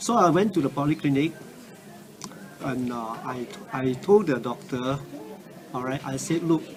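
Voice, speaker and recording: A man speaks at a moderate pace with a fairly high pitch and ordinary pitch variation. Audible room echo and noticeable background noise surround him. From Singapore. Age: 60s. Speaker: cancer patient giving a product testimonial. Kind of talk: testimony. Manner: halting, many fillers.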